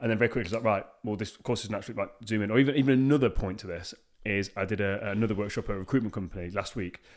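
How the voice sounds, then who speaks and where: Very fast speech with a British accent and fairly even intonation, in a very clean recording with a silent background. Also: man, fairly low pitch for a man. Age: 30s. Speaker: podcast host. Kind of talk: casual interview chat. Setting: podcast recording.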